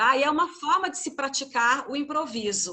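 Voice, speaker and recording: Her voice raised and projected, a woman speaks at a moderate pace in a high pitch with a bright, sharp tone and ordinary pitch variation. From Goiânia, Brazil (Centre-West). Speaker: university teacher leading a training session. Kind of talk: workshop instructions. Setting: video call.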